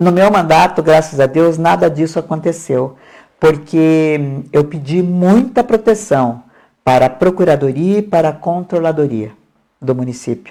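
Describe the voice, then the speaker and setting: Very deep, low woman's voice, dark and mellow in tone, lively in intonation, at a fairly slow pace. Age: 70s. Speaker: mayor and election candidate. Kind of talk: interview. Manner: hesitant, with repetitions.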